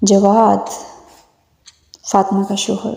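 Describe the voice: With vocal fry and a dark, mellow tone, a woman speaks slowly at a medium pitch.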